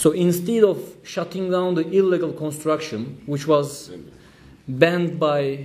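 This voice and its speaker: A man's fairly high voice with a Turkish accent, ordinary pitch variation, a moderate pace and audible room echo. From Turkey. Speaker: trade union official. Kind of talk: conference speech. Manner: halting.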